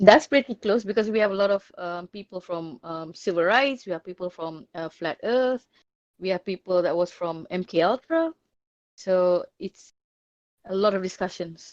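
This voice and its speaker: Spoken with a non-native accent and lively intonation, the voice sounds dry and close, with no echo. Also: woman. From Malaysia. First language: not English. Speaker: discord server owner. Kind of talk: interview. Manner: halting.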